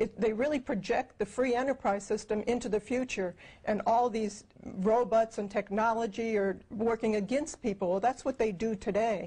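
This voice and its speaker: A woman with a fairly high pitch, a dark, mellow tone and a somewhat breathy quality, at a moderate pace with very even loudness and fairly even intonation. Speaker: co-founder of a futurist project; interviewee. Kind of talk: interview. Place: home room.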